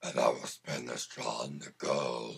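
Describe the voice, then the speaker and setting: Growling at a fairly slow pace, a man speaks in a put-on character voice. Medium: read story.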